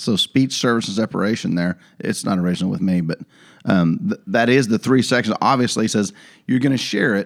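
A man with a plain, everyday voice, medium pitch, ordinary pitch variation and a fairly quick pace, in a dry, close sound with no echo. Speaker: podcast co-host. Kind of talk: casual banter with Bible study. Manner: joking, playful.

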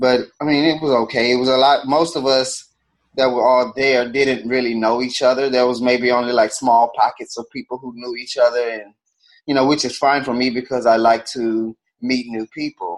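Monotone and flat, a man with an American accent speaks at medium pitch and a moderate pace. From Houston, Texas. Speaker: podcast co-host. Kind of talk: casual chat.

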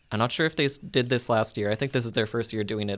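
A man speaks at a medium pitch with ordinary pitch variation and an unremarkable speaking voice. His pace is fairly quick, and the recording is very clean with a silent background. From Winnipeg, Canada. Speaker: student podcast co-host. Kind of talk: casual chat. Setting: studio.

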